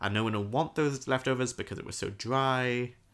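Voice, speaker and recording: Heard on a very clean recording with a silent background, a man speaks with a British accent. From Britain. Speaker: podcast co-host. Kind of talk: casual chat.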